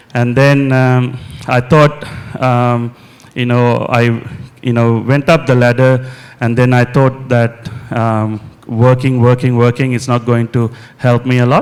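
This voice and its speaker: A man with a Sri Lankan accent and medium pitch speaks fairly slowly in a flat monotone over noticeable background noise. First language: Sinhala. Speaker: mental health nurse and property investor. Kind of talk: on-stage interview. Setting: conference stage with audience. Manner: halting, many fillers.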